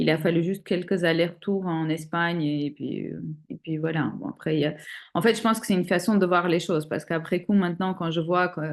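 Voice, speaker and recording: A woman's unremarkable speaking voice, fairly low in pitch, at a fairly quick pace with fairly even intonation. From Armenia. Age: 40s. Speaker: single mother sharing fertility journey. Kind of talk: interview testimony.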